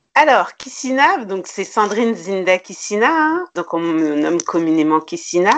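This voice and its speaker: A woman speaks at medium pitch and a fairly slow pace. Her pitch swings very widely. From Paris suburbs, France (Grigny). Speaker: entrepreneur. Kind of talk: interview.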